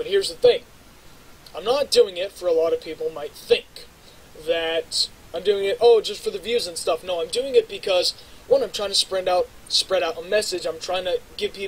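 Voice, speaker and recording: Big swings in loudness from a man speaking at a moderate pace. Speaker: YouTuber. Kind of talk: casual vlog monologue while gaming. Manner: rambling, halting with fillers.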